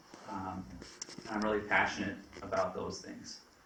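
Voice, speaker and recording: A man with a fairly low pitch talks at a moderate pace, with audible room echo and noticeable background noise. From Vermont, Rutland. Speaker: financial advisor. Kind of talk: presentation to town board. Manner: hesitant, many fillers.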